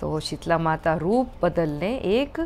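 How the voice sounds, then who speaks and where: Music plays behind a woman whose intonation is lively. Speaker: storyteller. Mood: expressive, dramatic. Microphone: phone near.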